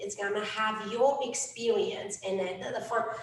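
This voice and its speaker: A woman speaks at a fairly slow pace. Audible room echo surrounds her voice. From Romania. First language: Romanian. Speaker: life coach. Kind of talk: workshop talk. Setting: event with audience. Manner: hesitant, many fillers.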